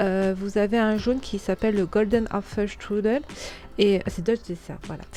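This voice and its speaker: Fairly even intonation accompanies delivery at a fairly slow pace. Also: woman. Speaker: crafting tutorial host. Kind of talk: tutorial. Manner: halting, many hesitations.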